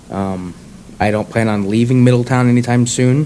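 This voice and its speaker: A man with a medium pitch and fairly even intonation talks at a moderate pace against noticeable background noise. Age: 20s. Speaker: political candidate. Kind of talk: candidate introduction. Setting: public forum with audience.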